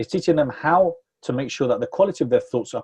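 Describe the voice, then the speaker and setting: The man's dark, mellow, somewhat breathy voice moves at a very fast pace, with a dry, close sound and no echo. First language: Spanish. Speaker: NLP training company CEO. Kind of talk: interview. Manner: halting, many repeated words.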